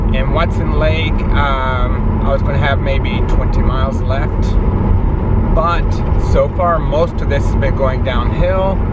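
Against loud background noise, a man talks at a fairly slow pace, the sound dry with no echo. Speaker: road trip vlogger. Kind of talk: casual vlog chat. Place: car. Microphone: phone near.

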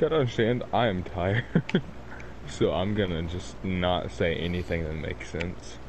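Lively intonation marks this man's very deep, low voice. He keeps a moderate pace. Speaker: gaming co-player.

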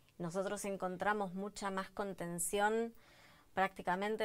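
Her intonation monotone and flat, a woman talks at a fairly slow pace. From Argentina, La Plata; Argentina. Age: 30s. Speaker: daughter of a disappeared person; interviewee. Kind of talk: interview testimony. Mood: reflective, emotional. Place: studio. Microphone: lapel.

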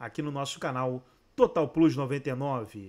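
With a quiet background, a man with an unremarkable speaking voice talks at a fairly high pitch with ordinary pitch variation. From Brazil. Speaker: YouTube channel host; sports channel host. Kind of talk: video intro and outro.

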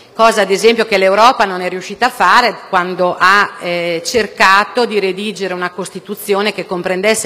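A woman speaks at a medium pitch and a moderate pace. Her intonation stays fairly even. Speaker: politician. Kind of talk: parliamentary speech. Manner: measured. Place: hall. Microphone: podium.

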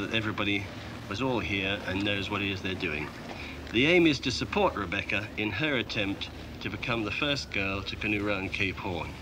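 Over noticeable background noise, a man with a fairly low voice speaks at a fairly quick pace. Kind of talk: briefing to a group. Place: open country.

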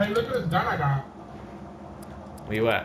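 A man is speaking. Noticeable background noise runs behind his voice. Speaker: gaming YouTuber. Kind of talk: angry rant during gameplay commentary. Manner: loud, profane, exasperated and animated; fast, jumpy, with bursts of laughter.

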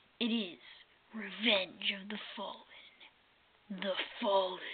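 A woman performs a put-on character voice in a dramatic tone at a very slow pace. Her pitch is medium and her intonation fairly even. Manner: dramatic, ominous.

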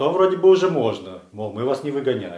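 In a Russian accent, a man speaks with very wide pitch swings, audible room echo, and a quiet background. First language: Russian (speaking Latvian). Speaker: legal defender. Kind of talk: video statement. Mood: critical, indignant. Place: studio.

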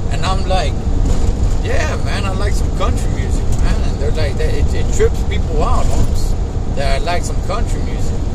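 A man at a fairly slow pace, against loud background noise. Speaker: truck driver vlogger. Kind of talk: casual vlog chat. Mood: relaxed, friendly. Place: car. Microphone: phone near.

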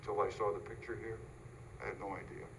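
In audible room echo, a man talks at a fairly quick pace. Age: 80s+. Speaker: neighbor objecting at public hearing. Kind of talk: public hearing comment. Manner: halting.

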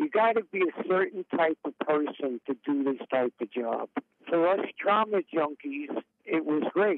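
A man talks with an American accent at a fairly slow pace. His intonation is lively. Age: 60s. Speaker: retired paramedic. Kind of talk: interview testimony.

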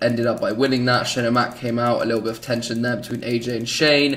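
A man with a British accent. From Britain. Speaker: gaming YouTuber. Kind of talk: gameplay commentary. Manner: animated; halting, many fillers.

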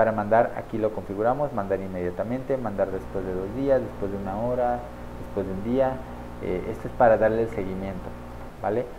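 A man with a fairly low pitch talks at a fairly quick pace with few pauses and ordinary pitch variation.

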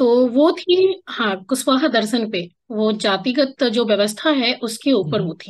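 Hardly pausing, a woman speaks at a fairly slow pace with a fairly high pitch, very wide pitch swings and big swings in loudness, against a quiet background. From Bihar, Araria district; Bihar, India. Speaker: writer and poet; podcast guest, poet. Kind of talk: interview conversation. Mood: warm, reminiscing. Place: home room. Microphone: video call.

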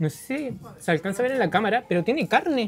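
A man talks fast with a high pitch and lively intonation. His voice carries a slightly husky edge.

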